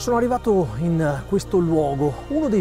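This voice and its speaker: A man's voice, dry with no echo, over clear background music. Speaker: ultrarunner host. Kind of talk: travel documentary presenting. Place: open country. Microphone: lapel.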